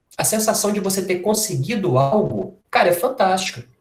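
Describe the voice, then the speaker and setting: A man with a Minas Gerais accent speaks at a fairly slow pace. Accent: mineiro Brazilian Portuguese. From Minas Gerais, Brazil. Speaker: workshop speaker on health. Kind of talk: informal lecture. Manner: casual, conversational.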